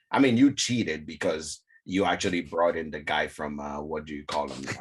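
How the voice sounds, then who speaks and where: A man with an African accent talks in a very deep, low pitch. His pitch varies in an ordinary way, while his loudness swings widely. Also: moderate pace. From West Africa. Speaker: whiskey content creator. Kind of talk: casual chat.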